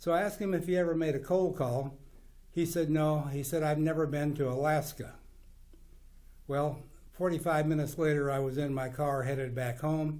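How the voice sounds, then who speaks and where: Speaking at a moderate pace with fairly even intonation, a man with an American accent has a fairly high pitch and a dark, mellow tone, with audible room echo. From US Midwest, western Kansas. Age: 80s+. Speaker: businessman. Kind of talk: interview monologue. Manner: halting.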